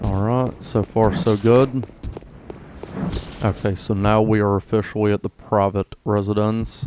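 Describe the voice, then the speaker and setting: A man talks at a fairly slow pace in a fairly low voice with a relaxed tone, fairly even intonation and very even loudness. Long, frequent pauses break up his speech. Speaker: gaming YouTuber. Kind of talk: gameplay commentary. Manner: casual, relaxed.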